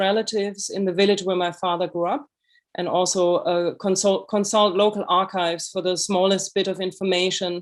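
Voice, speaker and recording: In a monotone, flat intonation, a woman with a medium pitch talks at a moderate pace. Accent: German. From Germany. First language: German. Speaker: author and illustrator. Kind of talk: lecture. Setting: video call.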